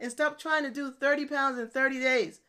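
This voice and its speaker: The speaker sounds animated on a very clean recording with a silent background. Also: woman. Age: 50s. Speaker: online fitness and nutrition coach, military retiree. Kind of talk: solo podcast monologue.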